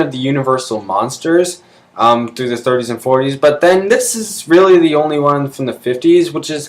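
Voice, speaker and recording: The speaker is a man with a fairly high pitch. His intonation is lively. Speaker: movie reviewer vlogger. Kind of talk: casual movie review monologue. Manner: hesitant, many fillers.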